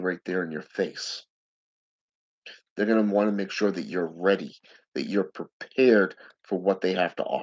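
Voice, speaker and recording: This man talks at a moderate pace in a fairly low pitch, leaving long, frequent pauses. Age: 40s. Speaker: occult practitioner and video blogger. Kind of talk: solo monologue to camera.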